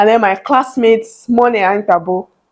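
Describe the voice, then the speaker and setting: A woman speaks with a Nigerian accent. Her pitch varies in an ordinary way. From Nigeria, Benue State (Tiv). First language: Tiv. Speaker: vlogger. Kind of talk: personal vlog storytelling. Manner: animated.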